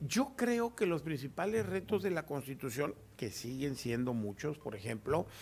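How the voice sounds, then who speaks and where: Somewhat breathy and fairly high in pitch, a man speaks at a fairly slow pace with very wide pitch swings. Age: 60s. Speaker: notary and law professor. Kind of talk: radio interview.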